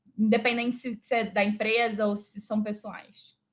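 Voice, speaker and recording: A woman in a Rio de Janeiro accent at a moderate pace. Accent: carioca (Rio de Janeiro). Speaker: HR director and speaker. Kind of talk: live online talk. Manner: animated.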